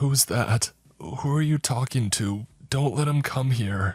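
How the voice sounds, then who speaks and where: Put-on character voice from a man, medium in pitch and fairly slow in pace. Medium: read story. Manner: fearful, pleading.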